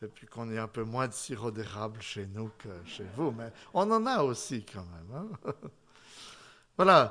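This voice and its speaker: Speaking in a Swiss accent at a medium pitch, a man uses a bright, sharp tone at a fairly slow pace, with long, frequent pauses and big swings in loudness against a quiet background. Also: ordinary pitch variation. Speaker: pastor. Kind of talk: sermon.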